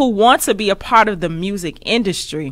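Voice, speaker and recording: A woman's bright, sharp tone at a moderate pace, over a quiet background. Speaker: radio show host. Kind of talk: radio interview hosting. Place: studio. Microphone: studio mic.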